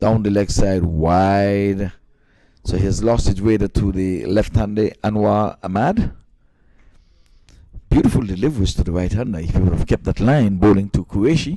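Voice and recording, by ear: The man's fairly low voice has a dark, mellow tone and ordinary pitch variation. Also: moderate pace.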